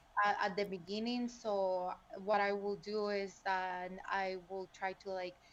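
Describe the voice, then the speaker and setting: Her pitch medium, a woman speaks in a flat, monotone way with a Spanish accent. She goes at a fairly slow pace. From El Salvador. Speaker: PhD student and STEM content creator. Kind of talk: podcast interview.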